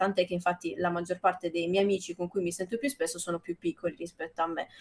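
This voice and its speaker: A woman at a medium pitch. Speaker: streamer. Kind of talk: reading aloud. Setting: live stream. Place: home room.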